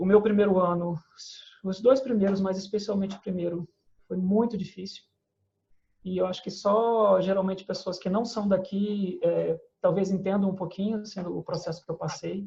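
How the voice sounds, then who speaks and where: At a moderate pace, a man with a high pitch and a dark, mellow tone speaks in a monotone, flat intonation. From Brazil, São Gonçalo (Greater Rio de Janeiro). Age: 40s. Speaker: poet. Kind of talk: interview. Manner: hesitant, repeats words.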